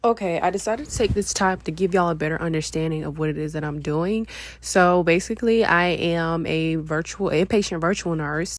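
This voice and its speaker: A woman with a normal speaking voice talks at a moderate pace and a fairly low pitch. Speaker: registered nurse vlogger. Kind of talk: vlog narration. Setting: at home.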